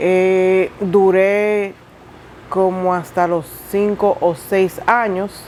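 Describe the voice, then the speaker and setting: A woman speaks at medium pitch and a very slow pace. Her intonation stays fairly even. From Dominican Republic. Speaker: interviewee, single mother. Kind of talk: testimony interview.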